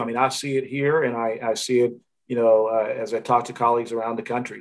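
Going at a very fast pace, a man speaks at a medium pitch. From Tanzania. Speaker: university fundraising executive. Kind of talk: interview.

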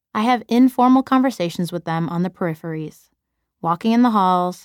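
A woman with an American accent speaks at a medium pitch and moderate pace, in an ordinary speaking voice with ordinary pitch variation. The recording is very clean and dry, close with no echo, against a silent background. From US Midwest, Chicago. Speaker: teacher and author narrating own book. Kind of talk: audiobook narration.

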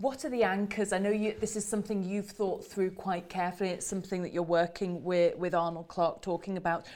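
A woman in an ordinary speaking voice, medium-pitched, talks at a fairly quick pace with hardly any pauses and fairly even intonation. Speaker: podcast host. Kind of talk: interview.

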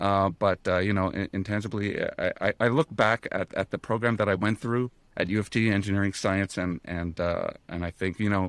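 In an ordinary speaking voice, a man with a Canadian accent talks at a fairly low pitch, ordinary pitch variation and a moderate pace. The recording is very clean with a silent background, and the sound is dry and close with no echo. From Canada. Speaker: ETF research analyst. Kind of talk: podcast interview.

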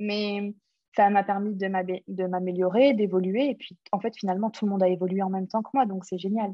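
A woman's plain, everyday voice at medium pitch, with fairly even intonation and big swings in loudness. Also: moderate pace. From London, England. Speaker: entrepreneur. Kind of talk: interview.

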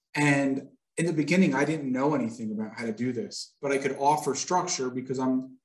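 An American-accented man with an unremarkable speaking voice talks at a fairly quick pace, medium pitch and ordinary pitch variation. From upstate New York, Hudson Valley. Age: 40s. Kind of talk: podcast interview.

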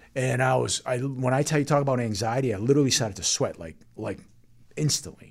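A man at a very fast pace, medium in pitch with vocal fry and ordinary pitch variation. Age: 50s. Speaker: financial advisor. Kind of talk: casual chat.

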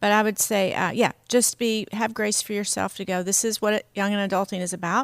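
A woman with an American accent and a medium pitch speaks at a fairly quick pace with hardly any pauses and monotone, flat intonation, in a very clean recording with a silent background and a dry, close sound with no echo. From US South. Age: 50s. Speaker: pastor. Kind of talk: casual chat.

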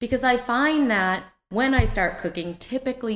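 In a normal speaking voice with lively intonation, the speaker keeps a moderate pace on a very clean recording with a silent background. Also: woman. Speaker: podcast host. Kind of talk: casual podcast conversation.

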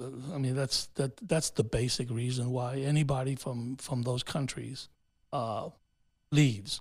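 A man's medium-pitched, somewhat breathy voice at a fairly slow pace with fairly even intonation. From New York City, raised by Honduran immigrants. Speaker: city councilman and mayoral candidate. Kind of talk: interview. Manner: halting, many fillers.

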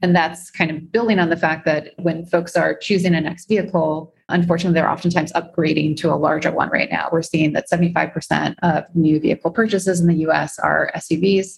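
A woman with an unremarkable speaking voice talks at a fairly quick pace with hardly any pauses, her pitch fairly low and her intonation fairly even. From US Midwest, Chicago. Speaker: bike-share executive and climate investor. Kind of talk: interview with slide presentation.

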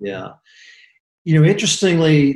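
A somewhat breathy male voice. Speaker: real estate executive. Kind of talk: interview conversation.

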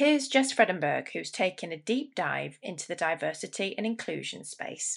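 A woman at a moderate pace with big swings in loudness and hardly any pauses, over a quiet background. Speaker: podcast host. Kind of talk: podcast intro and outro.

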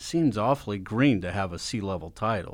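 A man speaks in a plain, everyday voice at a moderate pace. His pitch is fairly low. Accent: American. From Texas. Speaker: podcast host. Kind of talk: casual interview.

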